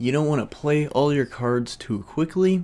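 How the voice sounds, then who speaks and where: The recording is very clean, with a silent background. A man uses a normal speaking voice at a moderate pace with ordinary pitch variation. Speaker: film reviewer. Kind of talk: casual movie review to camera.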